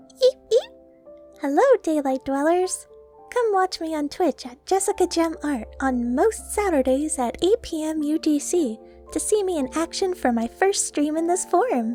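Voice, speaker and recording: Over clear music in the background, a woman does a high-pitched put-on character voice at a moderate pace. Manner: cheerful, chirpy.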